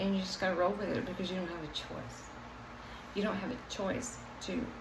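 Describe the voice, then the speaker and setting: Against noticeable background noise and audible room echo, a woman of medium pitch talks at a moderate pace. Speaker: vlogger sharing life with MS. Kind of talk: personal vlog monologue. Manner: halting, word-searching.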